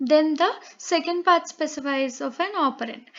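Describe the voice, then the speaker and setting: Speaking at a fairly slow pace, a woman with a Telugu accent has a high pitch. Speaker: online tutor. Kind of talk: lecture. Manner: halting, many fillers.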